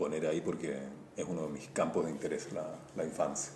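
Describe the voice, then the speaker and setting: A man speaks with a Chilean accent. There is audible room echo. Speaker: visual artist and comic illustrator. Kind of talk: interview.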